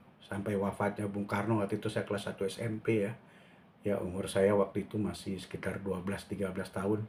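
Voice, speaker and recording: A man is speaking. His pitch is fairly low. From Jakarta (Betawi), Indonesia. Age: 60s. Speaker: painter and vlogger. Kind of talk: casual vlog monologue. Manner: halting, with many fillers.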